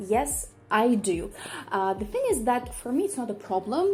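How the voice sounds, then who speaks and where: A woman with a Russian accent speaks at a fairly quick pace with lively intonation over noticeable background noise. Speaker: polyglot YouTuber. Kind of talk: casual vlog Q&A. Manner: hesitant, frequent fillers.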